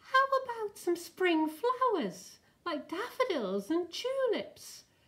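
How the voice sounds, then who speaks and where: Putting on a squeaky character voice, a woman goes extremely high in pitch. Her delivery is very slow. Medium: read story. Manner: eager, cheerful.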